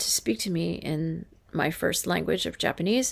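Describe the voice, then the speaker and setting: On a very clean recording with a silent background, a woman talks at a moderate pace. She has an American accent. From US West Coast, California. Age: 50s. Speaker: true crime livestreamer. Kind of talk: casual monologue on livestream. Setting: livestream on camera. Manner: halting, many false starts.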